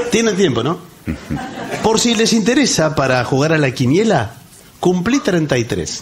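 Over noticeable background noise, a man with a high pitch and very wide pitch swings speaks at a fairly slow pace with long, frequent pauses, his loudness very even. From Argentina. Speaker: radio co-host. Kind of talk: live comedy radio show. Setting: theatre stage with audience. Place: stage.

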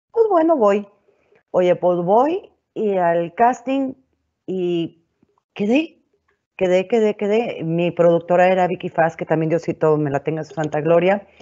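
A woman speaks at a fairly slow pace with fairly low pitch and ordinary pitch variation. She leaves long, frequent pauses against a quiet background. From northern Mexico (Monclova, Coahuila); Coahuila, Mexico. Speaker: TV and radio presenter; radio presenter. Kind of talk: webinar panel talk. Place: home room. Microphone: earbuds.

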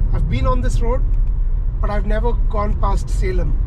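Loud background noise surrounds a man's voice. The sound is dry with no echo. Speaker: travel vlogger. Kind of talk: casual vlog chat. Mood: relaxed, mildly excited. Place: car. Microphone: camera far.

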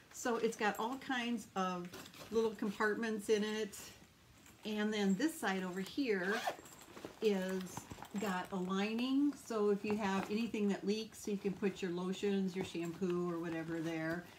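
A woman at a fairly slow pace with ordinary pitch variation, over light background noise. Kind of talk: casual vlog chat. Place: home room. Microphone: phone near.

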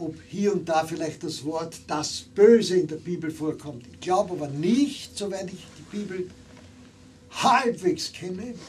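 Light background noise sits behind a man with a high pitch and ordinary pitch variation. He talks at a fairly slow pace with big swings in loudness. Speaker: theologian and preacher. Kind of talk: sermon to a live audience. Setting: live event in a bar. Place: bar.

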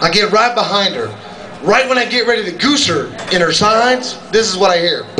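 Against noticeable background noise, a man raises and projects his high-pitched voice in an animated tone, moving at a fairly quick pace with ordinary pitch variation. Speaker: stand-up comedian. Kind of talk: raunchy stand-up comedy set, crude war and marriage stories to a bar crowd. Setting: stage with audience in a comedy club. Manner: brash, profane storyteller with sound effects; animated, laughs at his own jokes.

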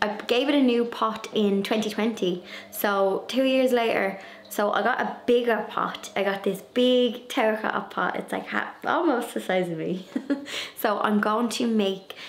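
Ordinary pitch variation marks a woman's speech, which moves at a fairly slow pace. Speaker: garden vlogger. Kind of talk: casual vlog chat. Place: home room. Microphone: phone near.

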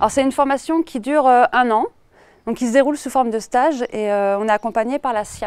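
A woman with a high pitch speaks at a fairly quick pace with ordinary pitch variation, in a dry sound with no echo. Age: 30s. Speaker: aspiring horticulturist. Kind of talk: crowdfunding presentation video. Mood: calm, warm, passionate. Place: garden. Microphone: lapel.

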